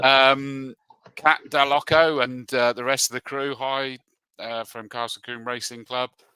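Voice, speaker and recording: With a bright, sharp tone, a man speaks at medium pitch in a monotone, flat intonation at a fairly slow pace, his loudness swinging widely, in a dry, close sound with no echo. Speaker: motorsport commentator. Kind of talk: casual chat.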